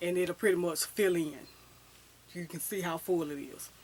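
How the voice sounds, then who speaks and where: A fairly low-pitched woman speaks with ordinary pitch variation. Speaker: fashion and hair vlogger. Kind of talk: casual vlog talk. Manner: fast.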